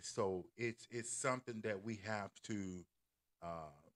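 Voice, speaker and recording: On a very clean recording with a silent background, a man speaks at a fairly slow pace and a fairly low pitch with ordinary pitch variation, the sound dry and close with no echo. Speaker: YouTuber and church elder giving opinions. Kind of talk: livestream commentary monologue. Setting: live stream. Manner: halting, many fillers and repetitions.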